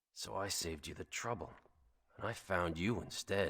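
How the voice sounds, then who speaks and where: A put-on character voice comes through raspy. Its pace is moderate. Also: man, very deep, low pitch for a man. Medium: video game. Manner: gruff, sardonic.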